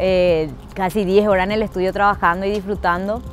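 A woman speaks at a moderate pace and fairly low pitch in a monotone, flat intonation. The sound is dry with no echo, and music plays in the background. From Paraguay. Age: 30s. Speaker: actress. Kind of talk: interview answer. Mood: warm, grateful. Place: street.

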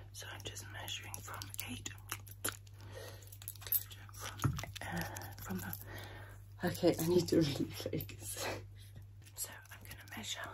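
A soft-spoken woman whispers very slowly with long, frequent pauses and big swings in loudness. Background noise is noticeable. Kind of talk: soft personal-attention role-play chat. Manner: soft close-up ASMR whisper. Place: home room. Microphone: phone near.

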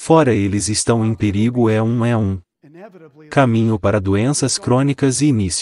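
Here a man speaks at a fairly slow pace with ordinary pitch variation. The sound is dry, with no echo. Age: 60s. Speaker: nonprofit co-founder, speaker; speaker. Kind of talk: public talk. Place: stage. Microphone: headset.

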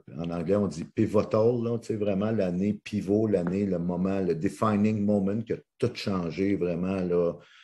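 Over a quiet background, a man with a Quebec accent speaks fairly slowly with hardly any pauses. His fairly low voice has a dark, mellow tone and fairly even intonation. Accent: Québécois French. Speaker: motivational speaker and coach; motivational speaker, coach. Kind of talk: interview. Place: home room. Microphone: video call.

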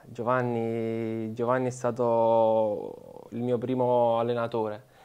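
The speaker is a man. His pitch is medium. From Italy, Molise (Campobasso); Molise. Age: 20s. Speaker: professional footballer; interviewee. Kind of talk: interview. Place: studio.

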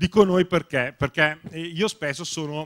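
Here a man speaks with a Lombard accent and ordinary pitch variation. The sound is dry and close, with no echo. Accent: Bergamo. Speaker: science blogger. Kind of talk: panel talk. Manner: hesitant, many fillers.

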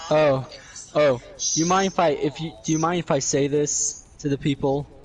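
A man at a fairly high pitch with fairly even intonation over noticeable background noise. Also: moderate pace. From Sweden. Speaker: gamer joining a live stream. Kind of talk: casual chat while gaming.

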